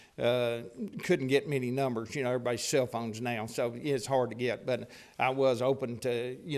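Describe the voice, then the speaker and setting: Man with a Texan accent, medium pitch and a fairly quick pace, on a very clean recording against a silent background. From Texas, Paris. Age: 60s. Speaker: property owner speaking at public hearing. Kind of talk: public comment at council meeting. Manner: halting.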